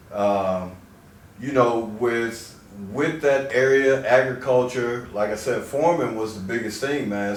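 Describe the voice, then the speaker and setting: A medium-pitched man with an American accent, fairly even intonation and a fairly slow pace, amid noticeable background noise and audible room echo. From US Midwest, southeast Missouri Bootheel. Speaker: chiropractor. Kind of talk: interview. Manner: casual, repeating words.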